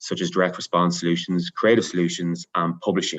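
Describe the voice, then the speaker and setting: With an Irish accent, a man talks at a very fast pace in a very deep, low pitch and monotone, flat intonation over a quiet background. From Ireland. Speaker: media company manager. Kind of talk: panel discussion.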